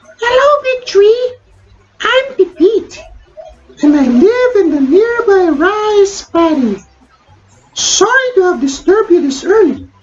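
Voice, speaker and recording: A woman does a put-on character voice, squeaky and extremely high-pitched, with very wide pitch swings. She speaks at a fairly slow pace with long, frequent pauses. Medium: read story. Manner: cheerful, curious.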